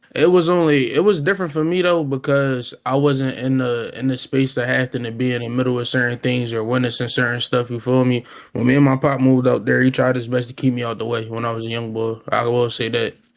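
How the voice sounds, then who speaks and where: Over noticeable background noise, a man at a medium pitch talks at a very fast pace with fairly even intonation and hardly any pauses. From Chester, Pennsylvania (Philadelphia area). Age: 20s. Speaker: camera man. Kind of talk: casual interview.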